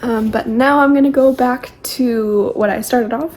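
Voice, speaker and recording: Against noticeable background noise, a woman with a fairly high pitch talks at a fairly slow pace with fairly even intonation. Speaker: book vlogger. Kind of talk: casual vlog talk to camera. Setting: at home in apartment. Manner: quiet.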